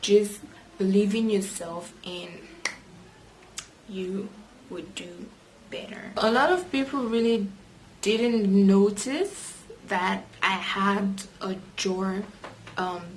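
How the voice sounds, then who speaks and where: Room echo and noticeable background noise surround a woman's voice. She leaves long, frequent pauses, with fairly even intonation. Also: medium pitch for a woman, big swings in loudness. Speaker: vlogger. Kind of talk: personal vlog monologue. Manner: hesitant with frequent fillers.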